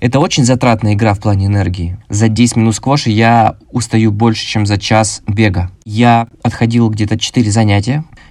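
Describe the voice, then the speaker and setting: A man with a plain, everyday voice speaks at medium pitch and a moderate pace. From Krasnodar, southern Russia. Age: 20s. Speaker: podcast host, marketer. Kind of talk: solo podcast monologue.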